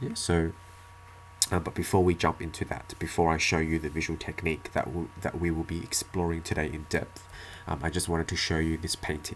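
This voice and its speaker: The delivery comes at a fairly quick pace. Its intonation is monotone and flat. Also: man, very deep, low pitch for a man. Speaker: English teacher. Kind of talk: tutorial. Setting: one-take home video recording. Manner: halting, with fillers and repetitions.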